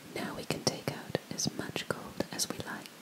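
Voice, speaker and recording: A woman whispers at a very slow pace. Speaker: ASMR creator. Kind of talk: fairy tale reading. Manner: whispered. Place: home room. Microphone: studio mic.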